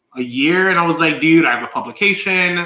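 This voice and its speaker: Audible room echo surrounds a man's voice. He has a fairly high pitch and a bright, sharp tone. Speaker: podcaster and fashion stylist. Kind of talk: casual chat. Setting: live stream.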